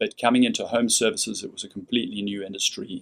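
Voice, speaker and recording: A man talks with a South African accent. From South Africa, Cape Town. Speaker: company CEO. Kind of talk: radio interview.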